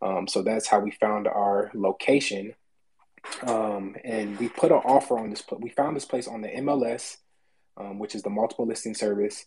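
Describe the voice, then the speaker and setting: Using an ordinary speaking voice, a man talks at a moderate pace with fairly low pitch and fairly even intonation. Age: 20s. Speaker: real estate agent. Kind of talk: personal story.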